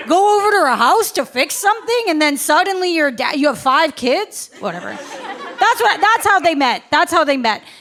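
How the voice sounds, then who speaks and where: Against crowd noise in the background, a woman with an extremely high pitch speaks at a moderate pace with very wide pitch swings and hardly any pauses. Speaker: stand-up comedian. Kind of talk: live stand-up comedy set. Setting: live comedy club audience. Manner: matter-of-fact delivery.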